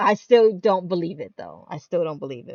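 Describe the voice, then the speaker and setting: Here is a woman with an American accent. Her pitch varies in an ordinary way. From New York City. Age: 30s. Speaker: gaming streamer. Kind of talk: casual chat. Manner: halting.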